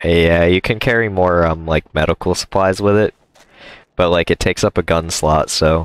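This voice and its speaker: Very deep and low, this man's voice keeps fairly even intonation and very even loudness at a moderate pace. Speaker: gaming streamer. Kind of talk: casual chat.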